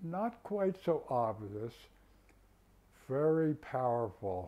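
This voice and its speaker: At a very slow pace, a man with a fairly high pitch and a dark, mellow tone talks with very wide pitch swings. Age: 80s+. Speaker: tai chi and qigong instructor. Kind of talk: exercise instruction.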